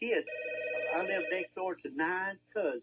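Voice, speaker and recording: A man with an Alabama accent at a fairly slow pace. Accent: Southern US, Alabama. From Alabama, Marshall County. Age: 70s. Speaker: hardware store owner, radio guest. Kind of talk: casual chat. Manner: halting, many fillers.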